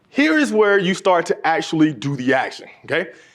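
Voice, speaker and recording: Delivered at a fairly quick pace, the speech has an animated tone and very wide pitch swings. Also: man. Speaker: motivational speaker. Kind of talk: conference keynote talk. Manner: fast.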